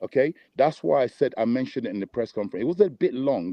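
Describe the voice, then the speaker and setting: A man with an unremarkable speaking voice talks at a medium pitch. His pace is fairly quick, and his intonation is lively. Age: 60s. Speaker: boxing trainer. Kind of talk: interview.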